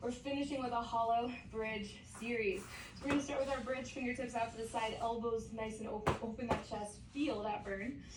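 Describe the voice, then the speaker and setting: Energetic and fairly high-pitched, a woman speaks at a fairly quick pace in a space with audible room echo. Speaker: fitness coach. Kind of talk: workout instruction. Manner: energetic, encouraging.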